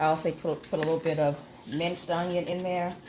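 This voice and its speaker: Fairly low in pitch, a woman speaks over noticeable background noise. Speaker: home cooking channel host. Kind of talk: cooking tutorial.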